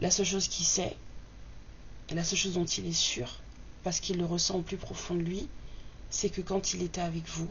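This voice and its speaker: The pace is fairly quick, broken by long, frequent pauses. Noticeable background noise runs underneath. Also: woman. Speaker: tarot reader. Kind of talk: tarot reading. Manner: soft-spoken; hesitant, many fillers.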